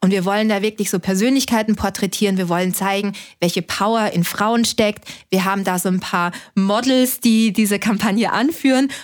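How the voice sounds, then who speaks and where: This is an ordinary speaking voice at a moderate pace. Its loudness is very even and its intonation fairly even. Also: woman, medium pitch for a woman, very clean recording, silent background. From Austria (Linz). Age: 30s. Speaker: startup founder and physician. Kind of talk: interview conversation.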